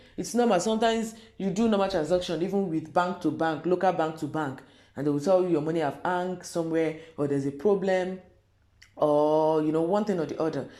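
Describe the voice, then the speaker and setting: A dark, mellow tone moves at a fairly quick pace, with audible room echo around the voice. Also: woman, fairly low pitch for a woman, ordinary pitch variation. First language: not English. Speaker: YouTuber, commentator. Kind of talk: casual vlog commentary. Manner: hesitant, halting.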